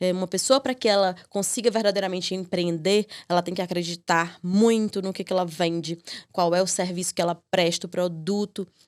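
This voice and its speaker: In a northeastern Brazilian accent, a woman speaks at medium pitch with fairly even intonation on a very clean recording with a silent background. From Piauí, Brazilian Northeast. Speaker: lawyer and legal mentor. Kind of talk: podcast interview. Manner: hesitant, many fillers.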